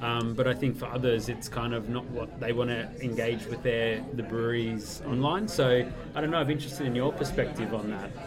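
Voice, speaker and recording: Over music in the background, a man at medium pitch talks at a fairly quick pace with hardly any pauses. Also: fairly even intonation. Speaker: blogger. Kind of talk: casual chat.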